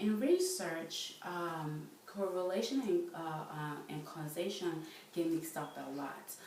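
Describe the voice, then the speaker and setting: Over noticeable background noise and audible room echo, a woman with a fairly low pitch speaks at a fairly slow pace. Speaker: student presenter. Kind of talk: lecture. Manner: halting, many fillers.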